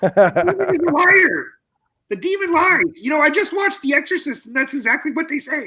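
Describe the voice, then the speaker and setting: A man performs a cartoonish character voice at an extremely high pitch. He moves along at a fairly quick pace. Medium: puppet show. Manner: blunt, offhand.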